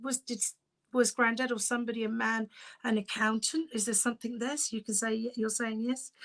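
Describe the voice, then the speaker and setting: A woman speaks with a British accent at a fairly quick pace. Her pitch sits fairly high. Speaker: psychic medium. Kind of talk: live-stream mediumship reading. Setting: live stream from home. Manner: fast.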